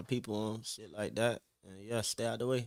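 This man talks at a fairly quick pace in an American accent, his fairly low voice keeping a fairly even intonation. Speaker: rapper. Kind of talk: casual chat. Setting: studio.

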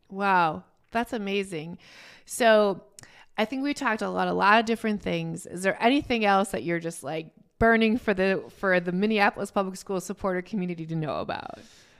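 A woman with an unremarkable speaking voice, medium pitch and ordinary pitch variation, at a fairly quick pace, on a very clean recording with a silent background. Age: 40s. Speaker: podcast host. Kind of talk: interview; podcast intro.

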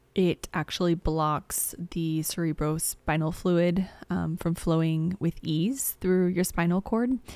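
A woman speaks slowly-ish, at a fairly low pitch with ordinary pitch variation, in a Midwestern American accent. The recording is very clean, with a silent background. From US Midwest, southern Illinois near St. Louis. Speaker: podcast host, astrologer and healer. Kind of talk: personal storytelling monologue. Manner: frequent filler words and hesitations.

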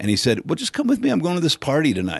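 A man's voice with vocal fry. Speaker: friend of the guest, cigar enthusiast. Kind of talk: casual chat.

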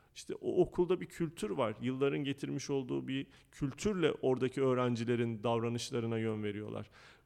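A man with an ordinary speaking voice talks at medium pitch and a fairly quick pace, with hardly any pauses. His intonation is lively. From Turkey. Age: 30s. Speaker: school founder and educator. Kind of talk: interview.

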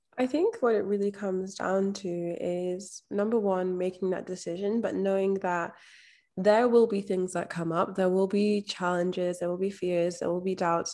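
Speaking in a Scottish accent, a woman keeps a moderate pace and fairly even intonation at a medium pitch, her tone dark and mellow. The recording is very clean, with a silent background. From Scotland. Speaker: mindset and manifestation coach. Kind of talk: interview.

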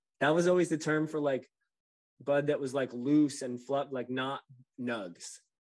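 In a normal speaking voice with an American accent, a man of fairly high pitch speaks at a fairly slow pace with ordinary pitch variation against a quiet background. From New Jersey. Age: 40s. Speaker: cannabis farmer. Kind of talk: casual interview.

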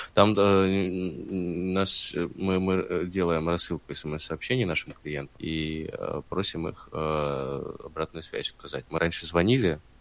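Man's very deep, low voice, very slow pace, ordinary pitch variation. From southern Russia, Stavropol. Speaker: startup co-founder. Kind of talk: casual interview. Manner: hesitant, many fillers.

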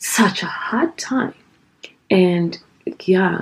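Speaking very slowly, a woman talks with a Kenyan accent. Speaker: guest being interviewed. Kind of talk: casual interview conversation.

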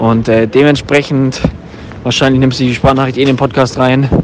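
Noticeable background noise accompanies a man's voice. He speaks at medium pitch in a monotone, flat intonation. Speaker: podcast co-host. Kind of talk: voice message. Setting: phone recording.

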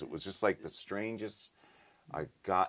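Vocal fry in a man's American accent at a moderate pace. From upstate New York, Troy area. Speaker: session bassist and producer. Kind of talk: casual interview chat. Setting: studio control room.

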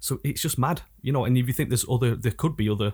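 This man's voice is somewhat breathy. The recording is very clean, with a silent background. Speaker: rapper. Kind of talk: casual chat. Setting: studio.

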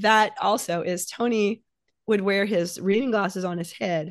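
A woman with an ordinary speaking voice and ordinary pitch variation, over a quiet background. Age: 60s. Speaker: novelist. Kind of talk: casual chat.

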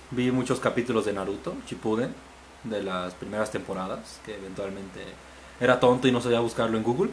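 At a fairly quick pace, an ordinary speaking voice moves through ordinary pitch variation. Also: man, medium pitch for a man. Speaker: podcast guest. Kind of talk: casual chat.

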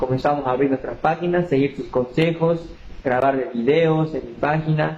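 This man has an unremarkable speaking voice, fairly high in pitch, with fairly even intonation at a moderate pace. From Bolivia, Tarija. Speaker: small business owner. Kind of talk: testimony.

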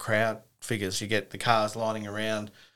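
Speaking with an Australian accent, a man has a fairly low pitch and a bright, sharp tone. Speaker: podcast host. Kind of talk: casual interview chat.

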